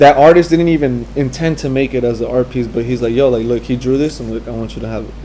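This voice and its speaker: Noticeable background noise is present. Over it, this man speaks very fast. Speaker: graffiti and fine artist. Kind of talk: interview answer. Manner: soft-spoken.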